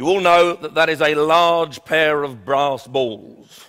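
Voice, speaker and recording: A man speaks at a very slow pace. His voice is high-pitched, with a bright, sharp tone. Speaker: motivational speaker. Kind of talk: humorous business keynote speech.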